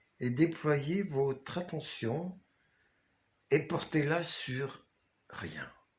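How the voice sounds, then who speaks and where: Calm in tone and somewhat breathy, a man speaks at a very slow pace with long, frequent pauses. His pitch is fairly high and his intonation fairly even. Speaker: author. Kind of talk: guided meditation. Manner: slow, calm.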